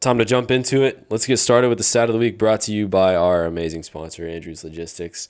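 On a very clean recording with a silent background, a man with a normal speaking voice talks fairly quickly at a fairly low pitch with ordinary pitch variation. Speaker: podcast host. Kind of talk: casual sports chat.

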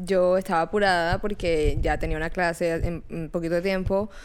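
At a fairly slow pace comes a plain, everyday voice. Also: woman. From Colombia, Barranquilla. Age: 20s. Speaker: podcast co-host. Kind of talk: casual chat.

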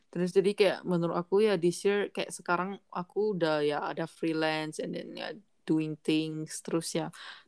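A woman uses an ordinary speaking voice at a fairly low pitch and moderate pace, with hardly any pauses. Her intonation is fairly even, and the sound is dry and close with no echo. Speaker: podcast co-host. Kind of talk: casual chat.

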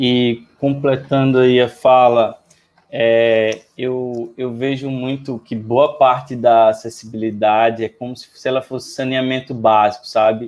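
A man speaks at a medium pitch, very slowly. His intonation is monotone and flat. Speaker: accessibility tech entrepreneur. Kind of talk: panel discussion.

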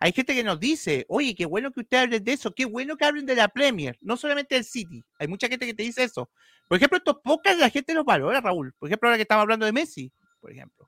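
Speaking in a Chilean accent, a man uses a raised, projected voice that is bright and sharp, with an extremely high pitch and lively intonation. His very fast speech sounds dry and close with no echo. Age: 30s. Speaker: football podcast host. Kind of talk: casual chat.

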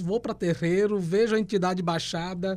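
A man with a southern Brazilian accent, high-pitched for a man, with a dark, mellow tone, fairly even intonation and a fairly slow pace. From Rio Grande do Sul, Brazil. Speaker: historian and tarot reader. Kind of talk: casual chat.

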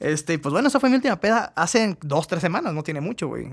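A man speaks with a Mexican accent, his pitch swinging very widely. The recording is very clean, with a silent background. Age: 30s. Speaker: podcast host. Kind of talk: casual chat.

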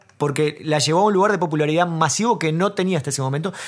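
This man has an ordinary speaking voice, pitched fairly high, with ordinary pitch variation. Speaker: comedy podcast co-host. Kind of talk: casual chat.

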